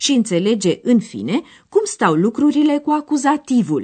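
Somewhat breathy, a woman speaks at a fairly high pitch with very wide pitch swings. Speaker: radio course presenter. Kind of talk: scripted narration explaining a language lesson. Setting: radio studio.

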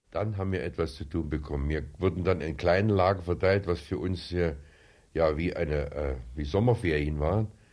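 This man has a very deep, low pitch with ordinary variation and a fairly quick pace. The recording is very clean, with a silent background. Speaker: war veteran. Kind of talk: interview testimony. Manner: hesitant with filler sounds.

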